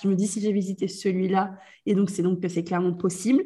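A woman speaks at a fairly quick pace, somewhat breathy, with a dark, mellow tone and fairly even intonation. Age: 20s. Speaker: business coach. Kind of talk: casual chat.

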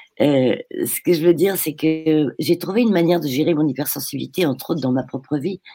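At a moderate pace, a woman speaks in a very deep, low, dark and mellow voice with ordinary pitch variation. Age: 70s. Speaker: caller. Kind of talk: testimony. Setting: video call.

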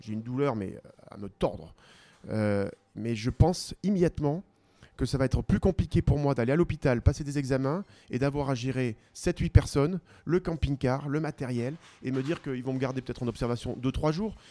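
Here a man speaks at medium pitch and a moderate pace, in a dark, mellow tone with ordinary pitch variation. His loudness swings a lot, and the sound is dry and close with no echo. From southwestern France, Pau. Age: 40s. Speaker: ultra-distance cyclist and teacher. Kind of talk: interview conversation. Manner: hesitant, many fillers and repetitions.

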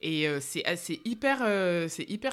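Very wide pitch swings in a very clean recording with a silent background. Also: woman. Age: 30s. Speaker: relaxation therapist and mother. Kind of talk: casual interview. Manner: hesitant, many fillers.

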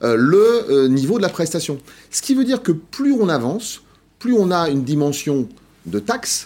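A man speaks at a moderate pace, his pitch swinging very widely. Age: 50s. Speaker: social protection think tank president. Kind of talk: TV interview.

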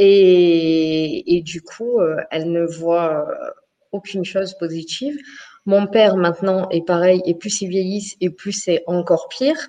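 A woman talks very slowly. Her pitch varies in an ordinary way. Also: medium pitch for a woman. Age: 40s. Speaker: live show participant. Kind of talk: casual chat.

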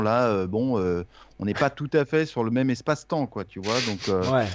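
Delivered at a fairly slow pace with lively intonation, this is an unremarkable speaking voice. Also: man. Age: 50s. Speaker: music interviewer and podcaster. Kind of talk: casual chat.

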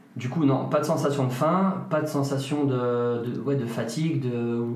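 A man's medium-pitched voice at a moderate pace with fairly even intonation, with audible room echo and noticeable background noise. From France, Ardennes. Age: 30s. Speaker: physiotherapist. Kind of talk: interview. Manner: halting.

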